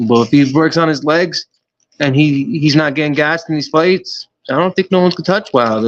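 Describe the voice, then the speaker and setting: The man has a fairly high pitch with ordinary variation and an American accent. He has an ordinary speaking voice and talks at a fairly quick pace. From United States. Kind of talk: casual boxing commentary.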